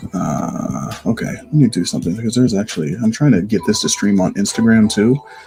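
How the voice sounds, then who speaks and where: With lively intonation and hardly any pauses, a man speaks over noticeable background noise. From Ohio, US tri-state area. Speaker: photographer and live streamer. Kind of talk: live stream editing tutorial. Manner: casual, halting.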